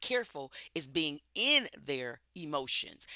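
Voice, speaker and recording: Bright and sharp in tone, a woman talks with lively intonation in a dry, close recording with no echo. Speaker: leadership coach. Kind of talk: interview conversation.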